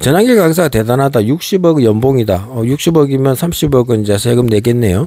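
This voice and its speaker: With a dark, mellow tone and lively intonation, a man speaks at a fairly quick pace and medium pitch, keeping his loudness very even. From Gangwon Province, South Korea. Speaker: political commentator, YouTuber. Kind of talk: political monologue. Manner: rhetorical, many fillers.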